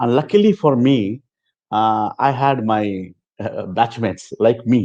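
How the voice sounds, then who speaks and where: A man's dark, mellow tone at medium pitch, ordinary pitch variation and a fairly slow pace. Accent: Telugu. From South India (Chennai). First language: Telugu. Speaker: former student sharing experience. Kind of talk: interview testimony.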